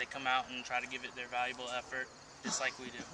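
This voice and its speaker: Over noticeable background noise, a man speaks at a very fast pace. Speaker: interviewee. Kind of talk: interview answer. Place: open country. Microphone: camera far.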